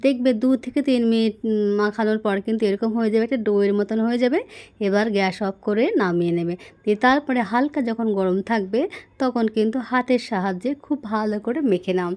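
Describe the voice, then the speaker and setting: A woman talks with a fairly high pitch and ordinary pitch variation. It is a normal speaking voice. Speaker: cooking channel host. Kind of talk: cooking tutorial.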